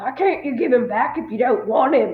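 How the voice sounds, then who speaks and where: A put-on character voice, female-sounding and high in pitch. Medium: read story.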